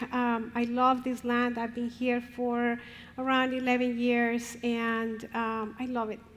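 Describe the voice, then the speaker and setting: In a Spanish accent, a woman speaks very slowly at a high pitch in a flat monotone, and the room echo is audible. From Colombia. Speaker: professor and family therapist. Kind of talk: conference talk.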